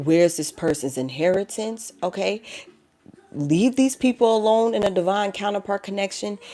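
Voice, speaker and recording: A woman's dark, mellow voice with an American accent and lively intonation. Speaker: tarot reader. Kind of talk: live tarot reading. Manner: animated.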